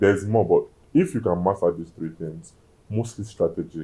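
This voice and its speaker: A man speaks with a very deep, low pitch and a dark, mellow tone. He moves at a fairly quick pace with big swings in loudness. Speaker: food critic. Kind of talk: interview.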